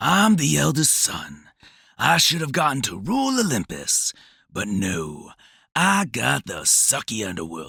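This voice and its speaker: A man performs a raspy, put-on character voice at a medium pitch. His pace is fairly slow. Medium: audio drama.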